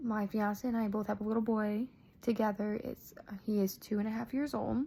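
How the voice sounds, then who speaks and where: This woman has a fairly high, somewhat breathy voice with an American accent. She speaks at a moderate pace. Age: 20s. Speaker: graduate student. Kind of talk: personal narrative for a class assignment. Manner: halting, many fillers.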